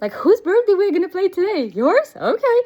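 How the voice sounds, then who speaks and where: This is a woman speaking. She has a Russian accent. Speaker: business coach. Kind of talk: casual vlog monologue. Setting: outdoors, walking.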